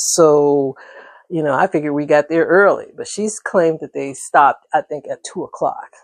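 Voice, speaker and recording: At a moderate pace, the speech comes through on a very clean recording with a silent background and a dry, close sound with no echo. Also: woman. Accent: American. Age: 60s. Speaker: vlogger. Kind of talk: casual chat. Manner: conversational, with frequent fillers.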